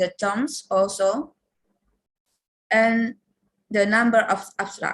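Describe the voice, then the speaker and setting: Somewhat breathy, a woman with an Indonesian accent speaks at a very slow pace. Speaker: lecturer. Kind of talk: workshop presentation.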